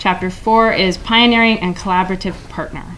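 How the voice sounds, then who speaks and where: Audible room echo around a woman's medium pitch. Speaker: city government official. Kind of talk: conference presentation. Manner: fast.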